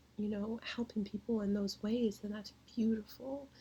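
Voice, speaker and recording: A woman's fairly high, somewhat breathy voice with a dark, mellow tone, flat monotone intonation and a fairly slow pace. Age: 20s. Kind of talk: casual talk to camera.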